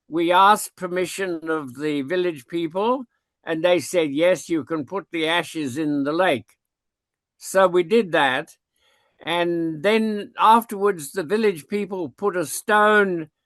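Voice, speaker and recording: Over a quiet background, a man speaks very slowly in a high pitch, the sound dry and close with no echo. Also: ordinary pitch variation. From Kashmir, India. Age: 90s. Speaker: retired zoology professor. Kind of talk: interview, personal recollections. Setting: online video call.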